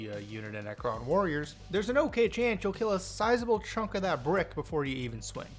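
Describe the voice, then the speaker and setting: A man at a high pitch, racing along at a very fast pace with very wide pitch swings, music playing behind him. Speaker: tabletop gaming youtuber. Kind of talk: scripted narration. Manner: casual.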